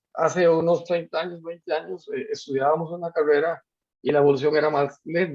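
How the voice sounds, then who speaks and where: This voice belongs to a man. It sits fairly high in pitch. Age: 60s. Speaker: university lecturer. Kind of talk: lecture. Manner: halting, many fillers.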